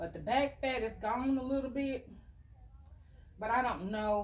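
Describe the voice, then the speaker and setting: Somewhat breathy, a woman speaks. She keeps a moderate pace. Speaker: lifestyle vlogger. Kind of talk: casual get-ready-with-me vlog. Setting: at home.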